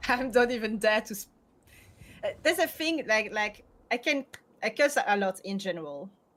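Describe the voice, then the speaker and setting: A woman with a French accent, fairly high and swinging very widely in pitch, with big shifts in loudness, long and frequent pauses, and a moderate pace. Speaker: streamer. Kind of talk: casual chat.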